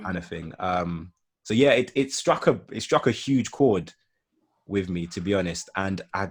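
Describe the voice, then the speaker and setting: In a very clean recording with a silent background, a man with an English accent speaks at a fairly slow pace in a very deep, low pitch with ordinary variation. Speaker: marketing consultant and YouTuber. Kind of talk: casual chat. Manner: halting.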